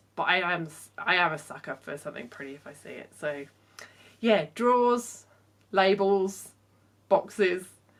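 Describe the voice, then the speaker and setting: A woman with a southern English accent and a medium pitch talks at a moderate pace with lively intonation. Her loudness swings a lot, and she takes long, frequent pauses. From southern England, Portsmouth. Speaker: fashion designer. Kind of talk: Q&A vlog. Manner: casual, with fillers.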